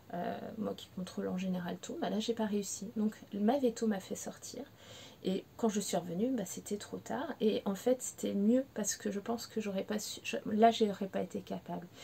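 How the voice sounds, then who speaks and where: A woman's medium-pitched voice moves at a moderate pace, its intonation fairly even. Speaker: pet behaviour consultant. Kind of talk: personal testimony to camera. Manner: emotional, hesitant.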